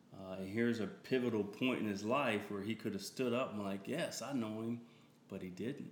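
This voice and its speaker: A man with an American accent and a fairly low pitch speaks at a moderate pace with fairly even intonation, with audible room echo around him. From Delaware and California. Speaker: minister. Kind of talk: casual interview chat.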